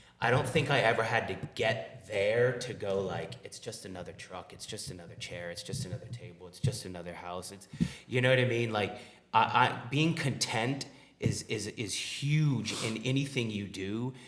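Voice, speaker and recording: A man at medium pitch and moderate pace, ordinary pitch variation and big swings in loudness, with audible room echo. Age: 40s. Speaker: restaurant owner. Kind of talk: podcast interview.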